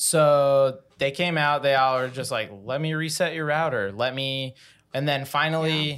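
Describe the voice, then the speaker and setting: A man's unremarkable speaking voice with an American accent, fairly high in pitch, at a moderate pace with fairly even intonation. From Utah. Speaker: podcast guest, former podcaster. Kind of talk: casual chat.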